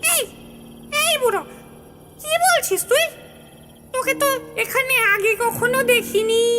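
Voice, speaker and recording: In a cartoonish character voice, a female-sounding speaker uses an extremely high pitch at a moderate pace over light background noise. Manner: teasing.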